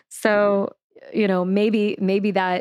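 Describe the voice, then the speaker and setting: Speaking with an American accent, a woman keeps a monotone, flat intonation. Her fairly slow speech is dry and close, with no echo. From US South, Louisiana. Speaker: sex and relationships coach. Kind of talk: interview.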